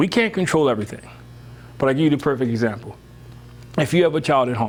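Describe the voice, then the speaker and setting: A man speaking at a fairly quick pace with ordinary pitch variation. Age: 60s. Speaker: workshop presenter on parenting. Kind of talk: workshop talk to parents. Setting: room with live audience. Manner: casual, conversational.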